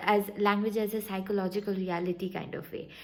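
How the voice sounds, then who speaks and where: A woman speaks at a medium pitch with a somewhat breathy voice and fairly even intonation. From India, Calcutta. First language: Bengali. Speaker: vlogger. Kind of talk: casual vlog talk. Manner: halting, many fillers and restarts.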